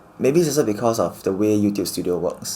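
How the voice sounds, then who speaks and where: A man at a very fast pace, fairly low in pitch, with lively intonation. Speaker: YouTuber. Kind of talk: personal vlog reflection. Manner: speeds up first words, slurred pronunciation; reserved, slightly awkward on camera.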